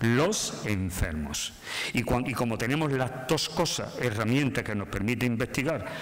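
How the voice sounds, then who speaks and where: In audible room echo, a man with a medium pitch speaks at a moderate pace with lively intonation. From southern Spain (Málaga). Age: 60s. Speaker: doctor. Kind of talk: conference talk.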